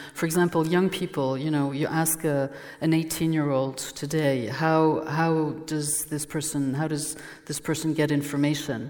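A woman in a French accent, very deep and low in pitch, monotone and flat, at a fairly slow pace. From France, Burgundy. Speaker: journalist and former newspaper editor. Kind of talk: public conversation. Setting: stage with audience.

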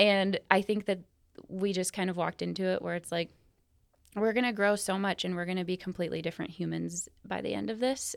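The background is silent and the recording very clean. A woman talks at a moderate speed. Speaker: podcast host and therapist. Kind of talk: casual professional discussion.

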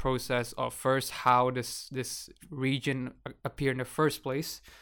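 On a very clean recording with a silent background, a man speaks at a medium pitch and a fairly slow pace. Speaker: student podcast co-host. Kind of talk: casual discussion.

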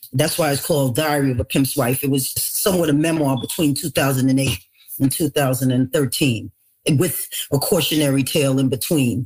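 In a very clean recording with a silent background, a woman with a New York accent speaks at a moderate pace, her pitch very deep and low with ordinary variation. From New York City, the Bronx. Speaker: author. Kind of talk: interview.

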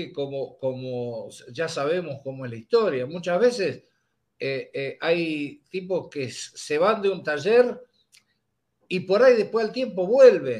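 A high-pitched man at a very slow pace, with very wide pitch swings. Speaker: podcast host. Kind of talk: casual chat.

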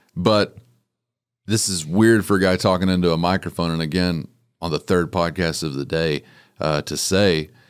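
In a very clean recording with a silent background, a man with a West Texas accent talks at a moderate pace in a very deep, low pitch with ordinary pitch variation. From West Texas (Littlefield). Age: 30s. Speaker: rancher and podcaster. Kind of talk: casual chat.

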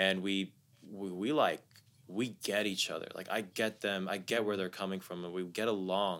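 Using a plain, everyday voice with a General American accent, a man speaks at a moderate pace and fairly low pitch with fairly even intonation. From US Midwest (Columbus, Ohio). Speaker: music producer and live artist. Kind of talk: casual interview. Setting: studio.

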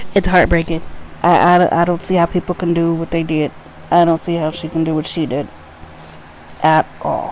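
A woman at a fairly low pitch with an American accent, monotone, flat intonation, a moderate pace, long, frequent pauses and noticeable background noise. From US Midwest, Cincinnati, Ohio. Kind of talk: casual solo monologue.

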